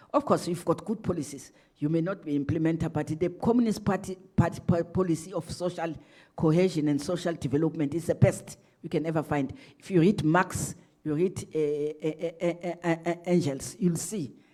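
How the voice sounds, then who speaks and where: A woman's fairly low voice with a dark, mellow tone and ordinary pitch variation. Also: moderate pace. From South Africa. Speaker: ambassador. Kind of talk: lecture Q&A answer. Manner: loud; halting, repetitive.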